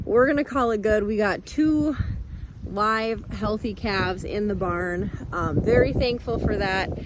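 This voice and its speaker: With noticeable background noise and audible room echo, a woman speaks at a fairly slow pace in a fairly high pitch with lively intonation. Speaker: cattle farmer vlogger. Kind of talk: casual vlog narration. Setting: outdoors and in a barn on a farm.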